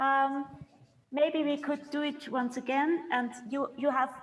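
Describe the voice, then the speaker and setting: Speaking in a German accent, a woman with a high pitch talks at a very slow pace. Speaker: composer leading a workshop. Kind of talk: online rehearsal instruction. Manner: halting.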